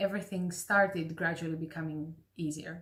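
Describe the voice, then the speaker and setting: A somewhat breathy woman's voice with a Greek accent and ordinary pitch variation. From Greece, Athens. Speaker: classical voice teacher. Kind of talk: casual talk to camera.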